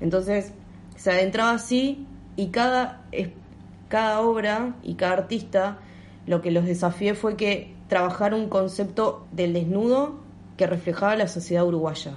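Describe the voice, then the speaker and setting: This is a woman with a plain, everyday voice at a medium pitch. She talks at a fairly slow pace with ordinary pitch variation. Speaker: photographer and medical student. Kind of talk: interview.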